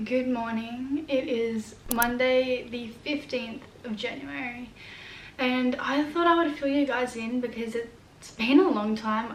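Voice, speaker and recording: A woman with an Australian accent, high in pitch, at a very slow pace amid noticeable background noise. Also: fairly even intonation. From New South Wales, Australia. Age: young. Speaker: vlogger. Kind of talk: casual talk to camera.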